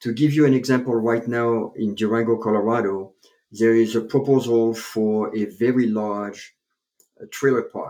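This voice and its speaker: A French accent comes through a dark, mellow tone at a moderate pace. The intonation is monotone and flat over a quiet background. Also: man, medium pitch for a man. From France (Paris). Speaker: chiropractor, author and public speaker. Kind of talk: interview, storytelling.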